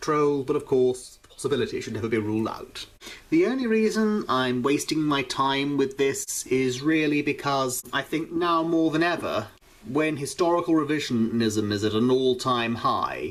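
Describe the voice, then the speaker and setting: Using a British accent, a man speaks at a moderate pace, his pitch fairly high with ordinary variation. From Britain. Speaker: YouTuber reacting to videos. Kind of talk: vlog commentary.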